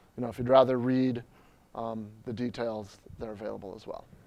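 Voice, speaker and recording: A man speaks fairly quickly. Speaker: Drupal trainer and conference presenter. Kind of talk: conference talk with live demo. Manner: fast.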